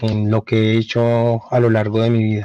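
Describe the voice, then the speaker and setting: Speaking at a fairly slow pace, a man has a dark, mellow tone at medium pitch. His intonation is monotone and flat. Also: dry, close sound with no echo. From Colombia, raised in Cali then Bogotá. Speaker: journalist. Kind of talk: interview. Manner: halting, many fillers.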